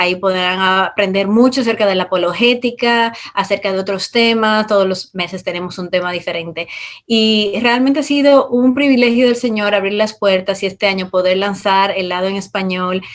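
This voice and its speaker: At a moderate pace and medium pitch, a woman speaks with ordinary pitch variation and hardly any pauses. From Dominican Republic. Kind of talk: interview.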